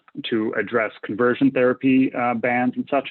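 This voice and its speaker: A man at a medium pitch talks at a very fast pace with ordinary pitch variation. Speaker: physician and medical professor. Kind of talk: lecture. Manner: many filler words.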